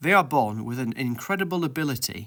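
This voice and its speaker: In a very clean recording with a silent background, a man with a northern English accent speaks at a moderate pace and a fairly high pitch, with a bright, sharp tone and very wide pitch swings. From Yorkshire, northern England. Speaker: educational YouTuber on linguistics. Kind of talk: scripted explainer narration.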